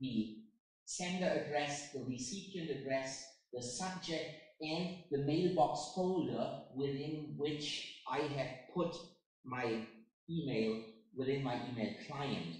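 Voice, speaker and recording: A man speaks very slowly at a fairly high pitch, with ordinary pitch variation and audible room echo. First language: German. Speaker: software product presenter. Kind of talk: software demo.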